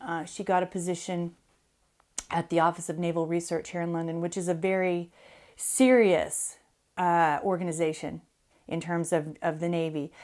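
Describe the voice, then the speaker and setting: Speaking with an American accent, a woman uses a fairly low pitch and fairly even intonation at a moderate pace, with long, frequent pauses. The recording is very clean, with a silent background. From US Southwest. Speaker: interview guest. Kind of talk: interview. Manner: halting.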